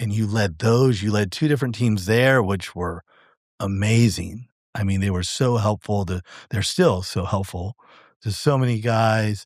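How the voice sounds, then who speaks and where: A fairly low male voice at a moderate pace, with ordinary pitch variation, on a very clean recording with a silent background. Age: 50s. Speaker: realtor, coaching client. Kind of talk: casual interview testimony. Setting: podcast interview. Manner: loud; halting, with fillers and repeated words.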